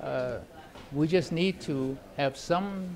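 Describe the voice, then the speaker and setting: Noticeable background noise accompanies a man as he speaks. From China. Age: 80s+. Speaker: war veteran. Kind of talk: interview answer. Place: hall. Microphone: phone near.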